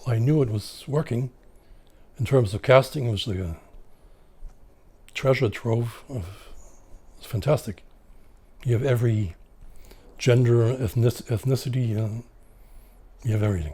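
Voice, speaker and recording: A man's somewhat breathy, dark, mellow voice at a fairly slow pace, with long, frequent pauses, big swings in loudness and ordinary pitch variation. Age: 60s. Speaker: photographer. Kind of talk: interview. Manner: halting.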